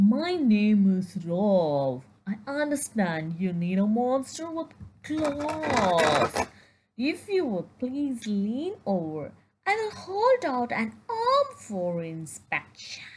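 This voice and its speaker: A female-sounding put-on character voice speaks at a fairly high pitch. The pace is very slow, with very wide pitch swings. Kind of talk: polite, formal greeting.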